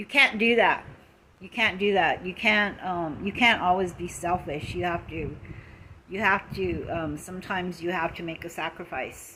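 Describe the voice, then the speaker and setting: A woman speaks with an American accent at a moderate pace, her pitch medium with ordinary variation. Her loudness swings widely. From Lakota, US Great Plains. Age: 60s. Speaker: social media live streamer. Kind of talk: casual live stream monologue. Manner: halting, many fillers.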